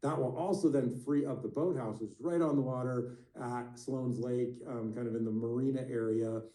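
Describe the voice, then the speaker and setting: In a room with audible echo, a man talks with fairly even intonation and hardly any pauses. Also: medium pitch for a man. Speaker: parks department official. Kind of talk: public meeting update. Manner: fast; hesitant, many fillers.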